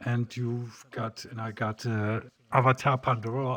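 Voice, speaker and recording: A man speaks with a German accent at a medium pitch. His pace is fairly slow. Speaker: PC hardware tutorial creator. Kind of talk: tutorial. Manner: halting.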